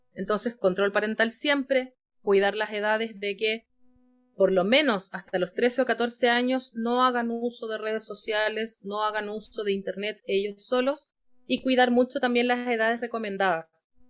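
Speaking at a moderate pace, a woman with an unremarkable speaking voice uses a fairly high pitch and fairly even intonation. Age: 30s. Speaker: clinical psychologist. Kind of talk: interview.

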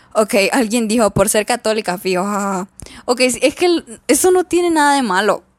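Recorded very cleanly against a silent background, a woman talks at a moderate pace in a dry, close sound with no echo. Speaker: podcast host. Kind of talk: casual solo chat. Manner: halting, with pauses.

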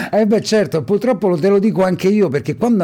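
A man is talking at a fairly quick pace. Noticeable background noise can be heard. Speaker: radio host. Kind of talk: radio interview. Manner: warm, chatty, enthusiastic.

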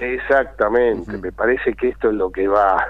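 This is a man speaking. He talks with a Rioplatense accent. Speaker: political analyst. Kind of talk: radio interview.

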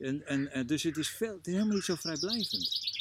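Noticeable background noise accompanies a man speaking with lively intonation. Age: 60s. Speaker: coach and trainer. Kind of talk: casual interview. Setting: outdoors in a garden. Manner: halting, many repetitions.

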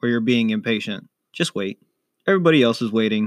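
Captured in a very clean recording with a silent background, the voice moves at a moderate pace with ordinary pitch variation. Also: man. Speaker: college student guest. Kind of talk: casual chat.

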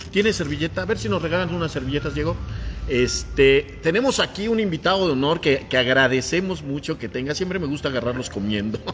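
Over noticeable background noise, a man with a fairly high pitch talks very fast, his pitch swinging very widely. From Mexico, Puebla. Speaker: podcast host. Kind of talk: casual interview chat. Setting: café.

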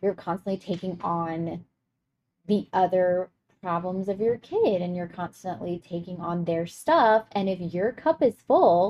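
This woman has an unremarkable speaking voice, medium in pitch with ordinary pitch variation. She speaks at a fairly slow pace. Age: 30s. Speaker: podcast co-host, mother. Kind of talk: casual chat.

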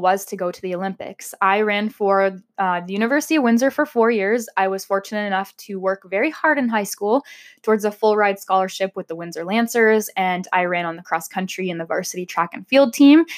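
This woman has a Canadian accent and a medium-pitched voice with ordinary pitch variation. She talks at a moderate pace on a very clean recording with a silent background. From southwestern Ontario, Canada. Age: 20s. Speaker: podcast host. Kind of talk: casual monologue. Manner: chatty.

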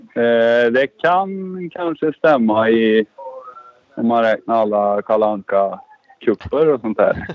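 Here a man at a medium pitch speaks very slowly, with long, frequent pauses. His intonation is lively. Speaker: former motocross rider and team coach. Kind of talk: casual chat.

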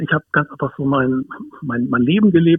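In a plain, everyday voice, the speaker talks at a fairly quick pace with lively intonation. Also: man. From northern Germany, Hamburg. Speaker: dog behaviourist and wilderness educator. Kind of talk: interview. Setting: phone call.

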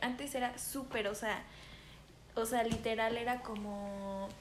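A woman with a Mexican accent speaks with fairly even intonation. Noticeable background noise and audible room echo are present. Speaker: podcast co-host. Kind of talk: casual chat.

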